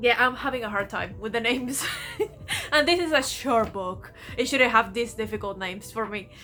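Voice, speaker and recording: A woman with a non-native accent talks at a moderate pace and fairly high pitch, with ordinary pitch variation. Music plays in the background. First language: not English. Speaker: book vlogger. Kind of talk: casual vlog, reading reaction. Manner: halting.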